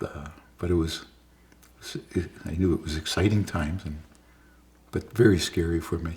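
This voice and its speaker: With long, frequent pauses, a man talks at a moderate pace in a very deep, low pitch. His voice is somewhat breathy, and his intonation is fairly even. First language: Yiddish. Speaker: interviewee recounting his life. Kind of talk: oral history interview. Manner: halting, many restarts and fillers.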